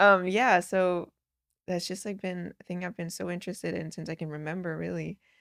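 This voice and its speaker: A woman speaks in a fairly low voice with a Danish accent and fairly even intonation. Her pace is fairly quick, and the recording is very clean with a silent background. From Denmark. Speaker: professional soccer player. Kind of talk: casual chat.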